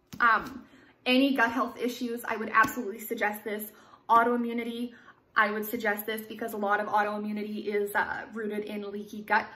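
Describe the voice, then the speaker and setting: A woman talks at a fairly quick pace in a fairly high pitch with a bright, sharp tone. Her intonation is monotone and flat, and there is audible room echo. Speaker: nutrition vlogger. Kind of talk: casual vlog book review.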